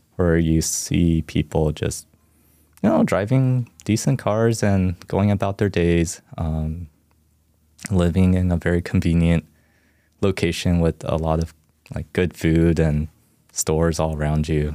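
In a Californian accent, a man with a dark, mellow tone and ordinary pitch variation speaks at a fairly slow pace with long, frequent pauses, on a very clean recording with a silent background. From US West Coast, Orange County, California. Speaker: campus minister. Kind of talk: interview about faith journey. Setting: studio.

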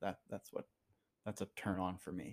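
The recording is very clean, its background silent. A man talks with a very deep, low pitch. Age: 30s. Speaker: host's husband, guest. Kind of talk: casual chat. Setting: recording on vacation in Aruba. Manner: hesitant, many filler words.

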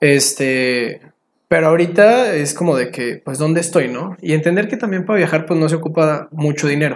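This man has a plain, everyday voice. His pitch is fairly high, with ordinary pitch variation. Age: 20s. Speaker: traveler and photographer. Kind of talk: casual interview chat.

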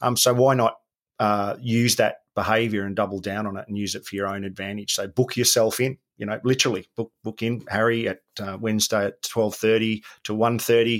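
A fairly low-pitched man's voice, monotone and flat, at a fairly quick pace. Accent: Australian. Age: 50s. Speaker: former special forces soldier, business coach. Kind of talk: casual interview.

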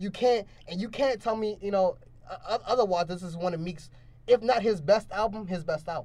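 This man has a high pitch and an American accent. He talks at a fairly quick pace with ordinary pitch variation. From Baltimore, later central Pennsylvania. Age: young. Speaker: podcast host. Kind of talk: casual chat.

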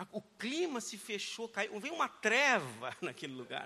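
A man projects a raised, high-pitched voice with a bright, sharp tone. His pitch swings very widely. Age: 40s. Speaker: pastor. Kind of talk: sermon. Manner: animated.

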